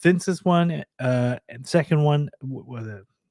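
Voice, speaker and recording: Dry and close with no echo, this very clean recording on a silent background carries a man's dark, mellow tone with ordinary pitch variation. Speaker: tabletop gaming video host. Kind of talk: casual live show commentary. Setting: live stream. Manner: hesitant, many fillers.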